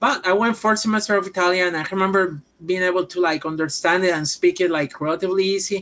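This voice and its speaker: Talking at a very fast pace with hardly any pauses, a woman keeps her intonation fairly even. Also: medium pitch for a woman. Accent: Puerto Rican. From Puerto Rico. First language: Spanish. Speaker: professional wrestler. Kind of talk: casual chat.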